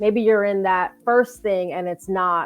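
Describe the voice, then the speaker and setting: A woman talks at a moderate pace in a medium pitch with fairly even intonation. Music plays in the background. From Jamaica. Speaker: podcast host and interviewer. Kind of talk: casual interview chat.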